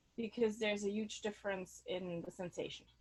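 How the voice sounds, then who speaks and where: In a German accent, a woman with a medium-pitched voice talks at a moderate pace with fairly even intonation. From Germany. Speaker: sound healer. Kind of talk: online workshop instruction. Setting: video call, outdoors on her deck. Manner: halting.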